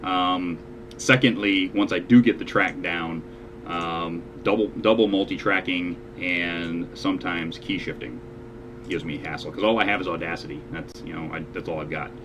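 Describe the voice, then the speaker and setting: Over noticeable background noise, a man with a very deep, low pitch speaks with ordinary pitch variation and big swings in loudness. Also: moderate pace. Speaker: online show host and amateur singer. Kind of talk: casual chat.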